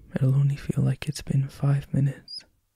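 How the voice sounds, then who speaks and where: Fairly high in pitch, a man speaks in a monotone, flat intonation. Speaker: ASMR roleplay performer. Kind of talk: ASMR comfort roleplay. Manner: soft-spoken, tender.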